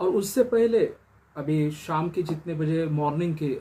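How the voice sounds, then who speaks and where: This man speaks with a Marathi accent and a fairly high pitch. His tone is dark and mellow. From Maharashtra, India. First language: Marathi (speaking Hindi). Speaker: pastor. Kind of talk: sermon. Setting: solo recording in early morning.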